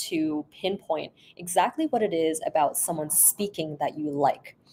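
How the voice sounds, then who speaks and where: With a Canadian accent, a woman speaks fairly slowly in a fairly low, dark and mellow voice with lively intonation. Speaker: speech therapist. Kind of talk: casual interview.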